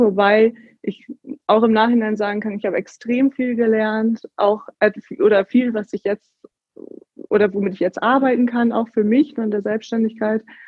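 A woman's fairly high voice unfolds at a fairly slow pace. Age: 30s. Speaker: empowerment coach and yoga teacher. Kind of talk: interview.

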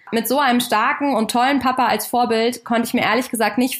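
A woman speaks very fast at a fairly high pitch, in a very clean recording with a silent background. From Germany, Kassel in northern Hesse. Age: 30s. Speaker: podcast host and family business owner. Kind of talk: scripted podcast introduction.

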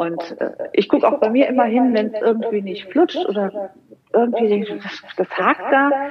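Over noticeable background noise, a woman talks at a fairly slow pace. Her pitch is fairly high and her intonation lively. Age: 50s. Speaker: money mindset coach. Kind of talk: interview. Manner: halting, many repetitions.

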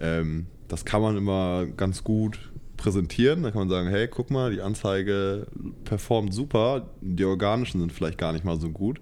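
A man's dark, mellow voice at a fairly low pitch and a moderate pace, with ordinary pitch variation. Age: 20s. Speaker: student. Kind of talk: casual chat.

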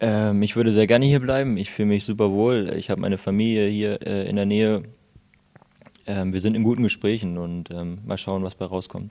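Against noticeable background noise, a man with a fairly low pitch talks at a fairly quick pace, his intonation fairly even. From Lower Saxony, Hildesheim. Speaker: handball player. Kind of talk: interview. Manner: hesitant, many fillers.

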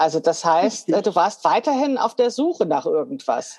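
This woman's pitch swings very widely. She talks at a fairly slow pace. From Hesse, Frankfurt. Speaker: podcast host, sewing teacher. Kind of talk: interview chat.

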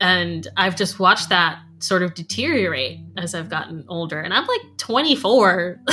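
A woman with an American accent, fairly low pitch, vocal fry, a bright, sharp tone, lively intonation and a fairly slow pace. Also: hardly any pauses. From United States. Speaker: cellist. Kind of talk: casual interview.

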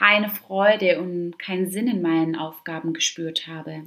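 Her medium-pitched voice has a bright, sharp tone, and the woman's pitch varies in an ordinary way. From Stuttgart, southwest Germany. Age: 20s. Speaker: fitness and wellness coach, podcast host. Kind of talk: solo podcast monologue.

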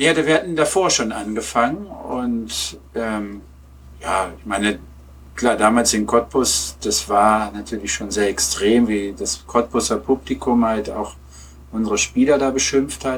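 A man at a medium pitch and fairly slow pace, with very wide pitch swings. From Lower Saxony, Germany (Peine). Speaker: German teacher and football fan. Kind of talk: casual interview. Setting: remote online call.

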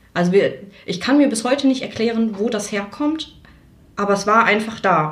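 A woman's fairly high voice at a moderate pace, lively in intonation, with long, frequent pauses, audible room echo and noticeable background noise. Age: 20s. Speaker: nurse. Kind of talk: testimony.

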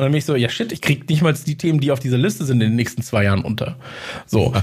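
This man has a fairly high pitch and lively intonation. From Munich, Bavaria. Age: 30s. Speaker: podcaster. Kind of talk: casual interview chat.

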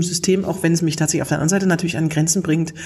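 A woman speaks in a somewhat breathy voice. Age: 40s. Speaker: humor trainer and podcast host. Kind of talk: interview. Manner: lively, laughs often.

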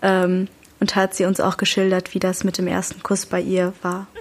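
A woman's medium-pitched, monotone, flat voice at a moderate pace. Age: young. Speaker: youth podcast co-host. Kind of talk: casual chat.

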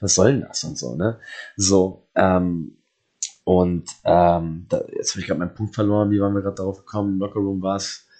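A man's fairly low, dark, mellow voice with fairly even intonation. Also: moderate pace. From Germany. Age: 30s. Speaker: professional wrestler. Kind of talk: casual interview.

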